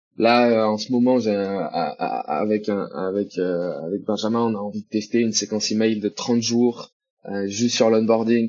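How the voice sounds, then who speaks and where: This man speaks at a moderate pace with a medium pitch. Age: 20s. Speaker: e-commerce CRM manager. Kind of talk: casual interview chat. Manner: hesitant, many fillers.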